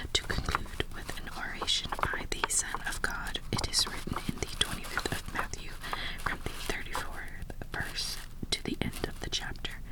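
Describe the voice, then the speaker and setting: Whispering from a woman at a moderate pace, with noticeable background noise behind. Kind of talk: ASMR roleplay reading old papers aloud. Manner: soft-spoken, whispering.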